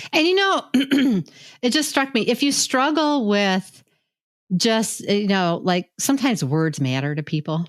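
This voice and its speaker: On a very clean recording with a silent background and a dry, close sound with no echo, a woman speaks fairly slowly at a medium pitch, with very wide pitch swings and very even loudness. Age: 60s. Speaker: healthcare leadership coach. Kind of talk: podcast conversation.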